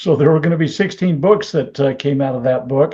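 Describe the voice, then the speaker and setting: Here a man speaks with an American accent and a fairly high pitch. His tone is dark and mellow, and his intonation is lively. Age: 70s. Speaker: constitutional scholar. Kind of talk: interview.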